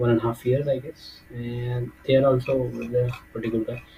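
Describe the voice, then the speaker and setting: Noticeable background noise sits behind a fairly slow delivery with monotone, flat intonation. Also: man. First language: not English. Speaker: software developer, tech YouTuber. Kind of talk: tutorial. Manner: halting, many fillers.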